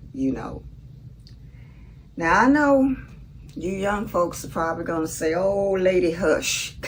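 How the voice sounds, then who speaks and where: At a fairly slow pace with long, frequent pauses, the speaker uses a Southern US accent and very wide pitch swings, with audible room echo and noticeable background noise. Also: woman. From US South, Mississippi. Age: 70s. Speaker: vlogger. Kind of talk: casual monologue.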